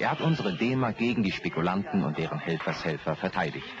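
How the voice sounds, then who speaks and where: A man talks with lively intonation and a moderate pace, and noticeable background noise is present. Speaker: announcer. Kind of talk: 1960s election ad narration.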